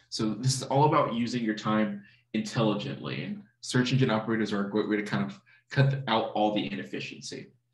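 At a fairly quick pace, a man's pitch swings very widely, with audible room echo. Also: fairly low pitch for a man. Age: 30s. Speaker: online course instructor. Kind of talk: lecture. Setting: live online class recording. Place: home room.

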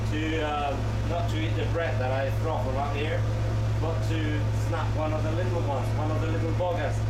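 Loud background noise runs under the recording. A man talks at a moderate pace. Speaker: boat tour guide. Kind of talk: tour guide commentary. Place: boat.

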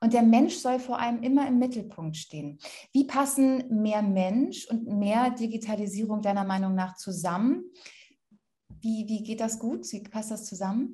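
A woman speaks at a fairly slow pace in a dark, mellow tone that is somewhat breathy, with ordinary pitch variation. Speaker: moderator. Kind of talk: moderated talk. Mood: friendly, calm, professional.

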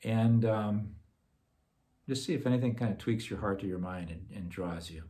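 A dark, mellow tone at a moderate pace with ordinary pitch variation and long, frequent pauses, over a quiet background. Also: man, fairly low pitch for a man. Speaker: parish talk leader; priest. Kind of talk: Lenten talk on prayer, with guided meditation. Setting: online video from home. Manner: hesitant, repeats words. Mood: calm, gentle, reflective. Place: home room. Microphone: phone near.

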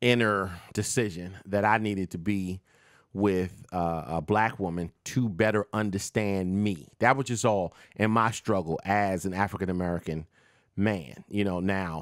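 In a dry space with no echo and a quiet background, a man uses a normal speaking voice with fairly low pitch, fairly even intonation and a fairly slow pace. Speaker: podcast host. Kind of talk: opinion commentary talk show. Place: home room. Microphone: studio mic.

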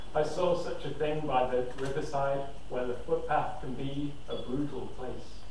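A man speaks at a fairly slow pace. Light background noise and audible room echo come through. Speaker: spoken word poet. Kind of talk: performing a poem at a poetry slam. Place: cafe.

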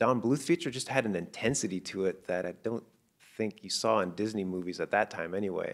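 A man's fairly low voice at a fairly quick pace, with ordinary pitch variation and a quiet background. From Canada, northern Ontario. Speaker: animated film director. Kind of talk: interview. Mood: thoughtful, reflective. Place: hall.

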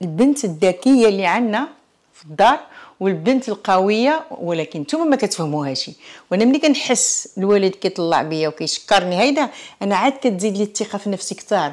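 A woman's medium-pitched, animated voice at a moderate pace, with very wide pitch swings and big swings in loudness over a quiet background. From Morocco, Tangier; Morocco. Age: 60s. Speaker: author and immigrant; interviewee. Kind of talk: interview testimony. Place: home room. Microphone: lapel.

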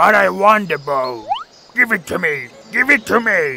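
This is a cartoonish character voice. Its pitch sits in the middle range. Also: moderate pace. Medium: puppet.

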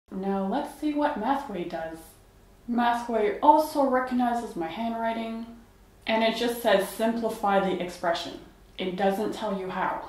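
Audible room echo surrounds a woman who speaks at a fairly slow pace. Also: ordinary pitch variation. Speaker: math tutor reviewing apps. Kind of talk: tutorial review commentary. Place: home room.

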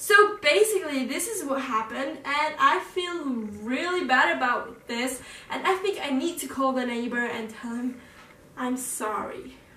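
In a room with audible echo, a woman uses a raised, projected voice at a fairly slow pace. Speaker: vlogger. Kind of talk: casual storytime vlog chat. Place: home room.

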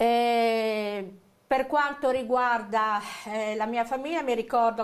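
This is a woman speaking. She goes at a very slow pace. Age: 60s. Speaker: witness, victim's relative; interviewee, witness. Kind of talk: interview testimony. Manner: halting, many fillers. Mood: reflective, recalling family tragedy. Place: studio.

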